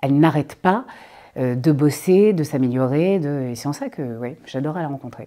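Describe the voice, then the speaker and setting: A woman's very deep, low pitch and dark, mellow tone, ordinary in pitch variation, at a moderate pace against a quiet background. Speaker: voice actor. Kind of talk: interview answer. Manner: casual, hesitant. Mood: playful, amused, expressive. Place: studio.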